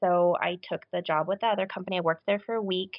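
This is a plain, everyday voice with fairly even intonation. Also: woman. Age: 30s. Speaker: podcast listener sharing recovery story. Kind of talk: interview conversation.

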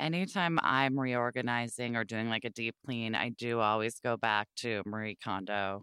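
Moderate pace and hardly any pauses in an American accent, on a very clean recording with a silent background. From US Pacific Northwest, Portland, Oregon. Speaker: podcast host and author. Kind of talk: casual chat.

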